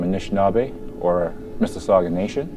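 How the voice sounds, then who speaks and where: Noticeable background noise sits behind a man with a very deep, low pitch. He talks at a moderate pace with ordinary pitch variation. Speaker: interviewee. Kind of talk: interview answer. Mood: calm, proud.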